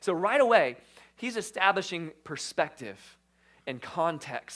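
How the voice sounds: This is a natural reading voice. Nothing further stands out.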